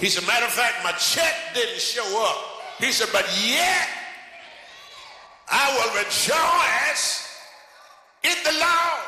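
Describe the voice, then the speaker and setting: The speech is very slow, with lively intonation and long, frequent pauses. Noticeable background noise runs beneath it. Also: man, extremely high pitch for a man. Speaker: Baptist pastor. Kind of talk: sermon. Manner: energetic.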